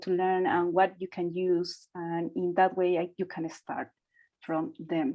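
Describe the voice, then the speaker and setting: With a Spanish accent, a woman talks at a fairly slow pace in a medium pitch. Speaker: doctoral researcher. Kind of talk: workshop panel Q&A.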